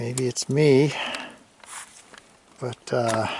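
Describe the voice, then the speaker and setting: Very slow speech unfolds with clearly audible noise in the background. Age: 60s. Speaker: hiker vlogger. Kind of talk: outdoor vlog narration. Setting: outdoors on a mountain hike. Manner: casual, halting with fillers.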